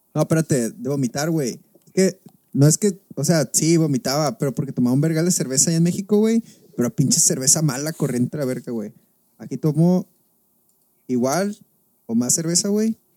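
A man's fairly high, dark and mellow voice at a moderate pace, lively in intonation, with long, frequent pauses and a dry, close sound with no echo. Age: 20s. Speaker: podcast co-host. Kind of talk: casual chat.

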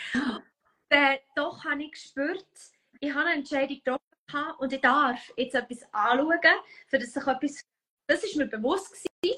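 Raised and projected, a woman's high, bright, sharp voice moves at a moderate pace with ordinary pitch variation and long, frequent pauses, recorded dry and close with no echo. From Switzerland, canton of Bern. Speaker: human design coach. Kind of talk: casual chat. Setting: Instagram live video.

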